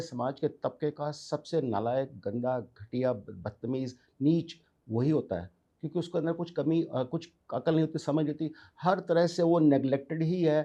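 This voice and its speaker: Pitched fairly high, a man speaks with a dark, mellow tone. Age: 60s. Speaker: businessman. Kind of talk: interview. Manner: animated.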